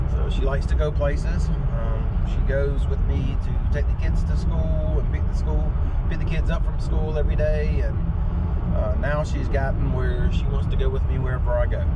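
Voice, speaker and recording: Over loud background noise, the speaker keeps a moderate pace with hardly any pauses and ordinary pitch variation in a dry sound with no echo. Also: man. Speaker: dog owner vlogger. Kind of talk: casual vlog chat. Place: car. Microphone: camera far.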